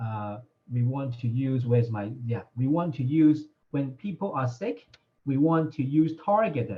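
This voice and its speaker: A man speaks at a fairly slow pace in a medium pitch, sounding somewhat breathy. His intonation is lively. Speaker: doctor answering health questions. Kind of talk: live Q&A session.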